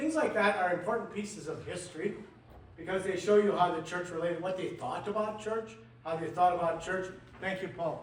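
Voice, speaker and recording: Over noticeable background noise and audible room echo, a man with an American accent speaks at a high pitch with ordinary pitch variation. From US Midwest, conservative Mennonite community. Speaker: history lecturer. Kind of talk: lecture. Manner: halting, many fillers.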